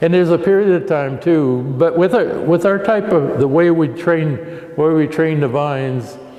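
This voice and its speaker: A man with an American accent speaks at a moderate pace. Noticeable background noise and audible room echo are present. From Oregon, US Pacific Northwest. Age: 80s+. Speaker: vineyard owner and winemaker. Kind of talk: oral history interview. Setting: at a winery. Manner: halting, many repetitions.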